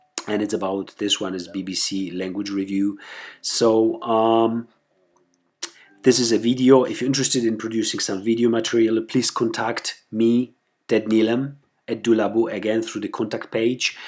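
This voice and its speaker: Speaking at a moderate pace with fairly even intonation, the voice carries a non-native accent. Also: man. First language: not English. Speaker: website founder presenting tutorial. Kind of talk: screencast tutorial. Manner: halting, many fillers and repetitions.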